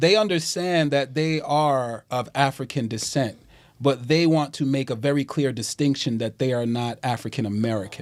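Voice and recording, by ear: The pitch of this man's speech rises and falls in an ordinary way.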